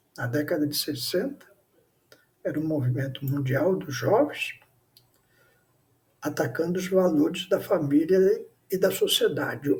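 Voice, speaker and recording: Amid audible room echo, the voice moves at a fairly slow pace with ordinary pitch variation and long, frequent pauses. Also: man, fairly high pitch for a man. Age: 70s. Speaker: pastor. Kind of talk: sermon.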